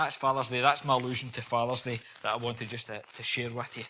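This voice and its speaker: Speaking at a medium pitch, a man has a bright, sharp tone. He talks with a Scottish accent. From Scotland. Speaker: visiting preacher. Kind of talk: sermon. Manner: fast.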